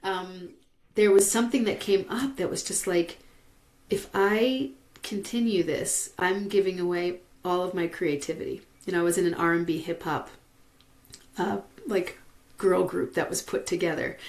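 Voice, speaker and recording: A woman speaks at a medium pitch with ordinary pitch variation. She leaves long, frequent pauses. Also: moderate pace. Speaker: vocal transformation teacher. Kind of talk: interview answer. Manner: casual, conversational.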